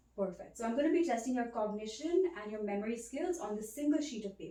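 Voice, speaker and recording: Through noticeable background noise, a woman talks at a very fast pace with a fairly high pitch and lively intonation. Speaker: ASMR creator playing a cognitive examiner. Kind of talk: ASMR role play, soft-spoken examiner. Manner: soft-spoken.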